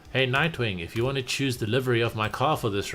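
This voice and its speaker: Speaking at a medium pitch, a man shows ordinary pitch variation. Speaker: gaming streamer. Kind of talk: casual gaming livestream chat. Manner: soft-spoken.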